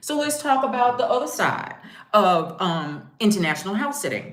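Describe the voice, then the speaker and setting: Amid audible room echo, a woman talks at a moderate pace with lively intonation. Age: 60s. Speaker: travel vlogger and house sitter. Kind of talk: casual chat.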